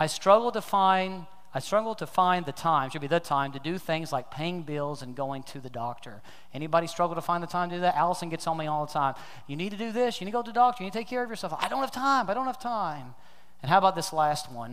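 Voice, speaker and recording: Very fast, lively speech from a man with a high voice. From Kentucky. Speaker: pastor. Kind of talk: sermon. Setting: church with congregation.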